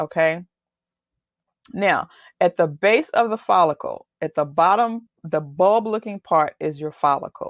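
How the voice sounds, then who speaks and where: Speaking at a fairly slow pace with a slight Texas accent, a woman shows ordinary pitch variation over a quiet background, in a dry, close sound with no echo. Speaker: hair loss coach. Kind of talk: webinar presentation. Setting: webinar. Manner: casual, conversational.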